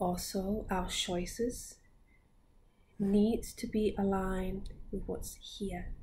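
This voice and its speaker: A woman at a very slow pace, medium pitch, dark, mellow tone and somewhat breathy, with monotone, flat intonation and long, frequent pauses. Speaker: spiritual teacher. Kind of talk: guided meditation. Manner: laughs often.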